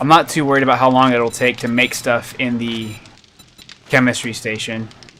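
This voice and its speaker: A man speaks in a monotone, flat way. Noticeable background noise is present. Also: medium pitch for a man, moderate pace. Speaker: gaming streamer. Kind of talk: live gameplay stream. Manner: slurring.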